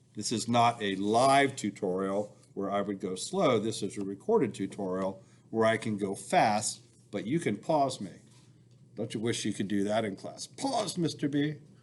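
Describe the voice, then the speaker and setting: An ordinary speaking voice at a moderate pace with ordinary pitch variation, over a quiet background. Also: man, fairly low pitch for a man. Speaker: school engineering teacher. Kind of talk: recorded software tutorial.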